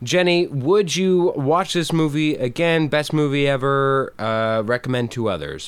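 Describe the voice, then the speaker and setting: A man with a plain, everyday voice and a fairly high pitch talks at a fairly slow pace, his pitch varying in an ordinary way. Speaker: podcast co-host. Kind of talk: casual chat. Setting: virtual remote recording.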